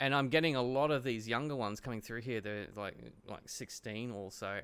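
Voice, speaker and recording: The recording is very clean, with a silent background. A man with an Australian accent speaks at a fairly quick pace, his pitch varying in an ordinary way. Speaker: podcast host. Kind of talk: casual interview.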